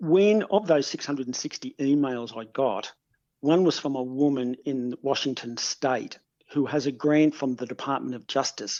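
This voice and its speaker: At a moderate pace, a man with an Australian accent speaks at a fairly high pitch with ordinary pitch variation. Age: 60s. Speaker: criminologist. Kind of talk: interview.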